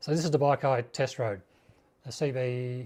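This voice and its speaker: A somewhat breathy, dark and mellow man's voice at medium pitch, in an Australian accent, fairly slow, with fairly even intonation. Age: 60s. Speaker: motorcycle YouTuber. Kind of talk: live stream chat. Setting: home garage live stream. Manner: halting; casual.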